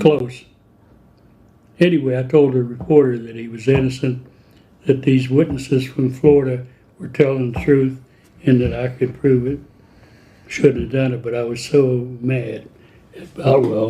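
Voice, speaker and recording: A man speaks in a somewhat breathy, dark, mellow tone at a medium pitch. His pace is moderate and his intonation fairly even, with long, frequent pauses. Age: old. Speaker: journalist. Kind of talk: interview answer. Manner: soft-spoken.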